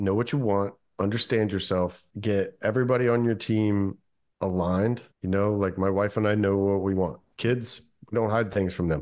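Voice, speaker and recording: In a normal speaking voice with an American accent, a man talks at a moderate pace with fairly low pitch, fairly even intonation, very even loudness and a quiet background. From Kentucky, US South. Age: 40s. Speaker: wealth strategist, former pilot. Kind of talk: interview.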